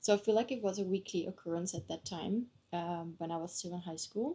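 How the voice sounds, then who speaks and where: Somewhat breathy and dark, mellow in tone, a woman speaks at a moderate pace. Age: 20s. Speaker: vlogger. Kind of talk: casual chat. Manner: casual, hesitant with many fillers.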